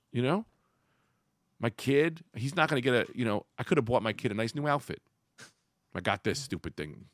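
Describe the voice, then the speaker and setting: With vocal fry and long, frequent pauses, a man speaks at a moderate pace and medium pitch with lively intonation. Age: 40s. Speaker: podcast host. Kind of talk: casual chat. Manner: animated.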